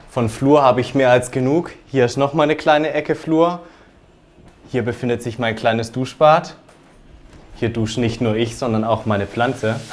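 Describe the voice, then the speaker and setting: A man with an Alemannic accent speaks at a moderate pace and medium pitch, animated in tone, with ordinary pitch variation and long, frequent pauses. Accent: Alemannic dialect from near the Swiss border. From German-Swiss border region (southern Baden). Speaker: home owner giving a room tour. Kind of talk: home tour presentation.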